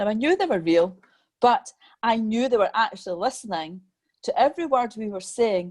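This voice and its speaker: Lively intonation at a moderate pace in a Scottish accent, in a very clean recording with a silent background. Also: woman. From Scotland. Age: 50s. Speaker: medium and mentor. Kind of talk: interview.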